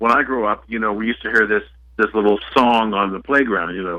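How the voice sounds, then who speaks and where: A man with an unremarkable speaking voice talks at a moderate pace, his fairly low pitch carrying fairly even intonation. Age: 60s. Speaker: author. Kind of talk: talk radio interview.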